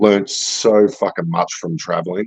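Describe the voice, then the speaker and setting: A man with an Australian accent speaks at a fairly slow pace in a fairly low pitch, his intonation lively and the sound dry and close with no echo. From Australia, rural Victoria near Melbourne. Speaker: crypto art gallery guest. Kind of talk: casual chat.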